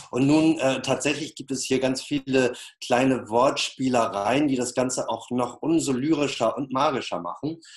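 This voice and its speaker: The man's voice sits at medium pitch and moves at a moderate pace. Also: fairly even intonation. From northern Germany, Flensburg. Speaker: peace artist. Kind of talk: interview. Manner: many filler sounds, hesitant.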